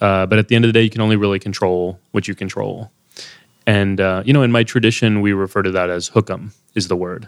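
Speaking very fast in an American accent, a man keeps a monotone, flat intonation at a fairly low pitch. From Texas, USA. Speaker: Sikh activist and writer. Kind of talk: interview conversation.

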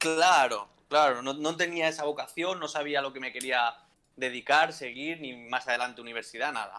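Music plays behind a man with a fairly high pitch. He speaks at a moderate pace with fairly even intonation. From Valencia, Spain. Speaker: entrepreneur. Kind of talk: casual interview.

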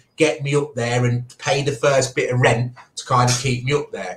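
A man speaks in a somewhat breathy voice. His intonation is fairly even. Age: 30s. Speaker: digital media entrepreneur. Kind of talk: casual interview.

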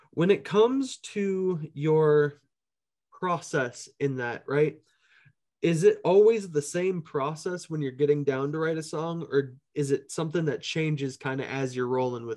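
A man with an American accent speaks at a fairly slow pace in a plain, everyday voice. His pitch is fairly high with ordinary variation, and his loudness swings widely. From Minneapolis, US Midwest. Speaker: podcast host and musician. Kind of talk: casual interview. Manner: laughs often.

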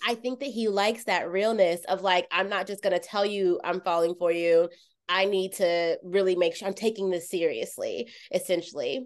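A woman with an unremarkable speaking voice, medium pitch, fairly even intonation and moderate pace against a quiet background. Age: 30s. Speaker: podcast host. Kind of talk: casual chat.

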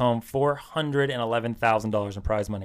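In an ordinary speaking voice, a man speaks at a fairly quick pace with a medium pitch and fairly even intonation. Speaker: podcast co-host. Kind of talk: casual chat.

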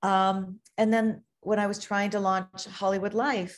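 At a fairly slow pace, a woman talks in an ordinary speaking voice with a medium pitch. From Canada, Toronto. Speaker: author and magazine editor. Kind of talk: interview. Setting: video call.

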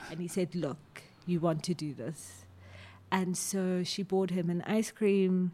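Somewhat breathy and fairly low, a woman's dark, mellow voice moves at a fairly slow pace with fairly even intonation. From South Africa, Johannesburg. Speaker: politics lecturer. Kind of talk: interview.

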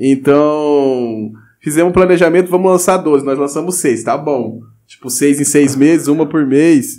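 A man's fairly high voice, dark and mellow in tone, at a fairly slow pace with ordinary pitch variation. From Mato Grosso do Sul, Brazil (Pantanal region). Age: 20s. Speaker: rapper. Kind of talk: casual chat.

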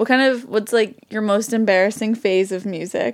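In a very clean recording with a silent background, a woman with a strong New England accent speaks with fairly even intonation. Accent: New England, thick. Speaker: podcast host. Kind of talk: casual chat. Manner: joking, bantering.

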